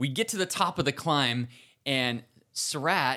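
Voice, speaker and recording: In a very clean recording with a silent background, a man speaks in a bright, sharp tone with very wide pitch swings. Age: 50s. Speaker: amateur bike racer, podcast co-host. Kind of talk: casual chat.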